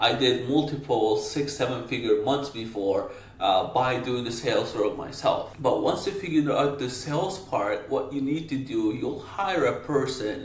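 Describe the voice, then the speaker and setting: At a fairly slow pace, a man with a medium-pitched voice and a non-native accent speaks with ordinary pitch variation, with audible room echo and noticeable background noise. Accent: foreign accent, non-native English. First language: not English. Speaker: marketing agency owner, business coach. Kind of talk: talking-head business advice. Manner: casual, direct.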